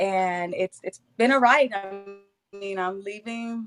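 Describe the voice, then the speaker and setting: With a Spanish accent, a woman talks at a medium pitch with fairly even intonation. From Puerto Rico. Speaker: school principal. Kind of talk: interview.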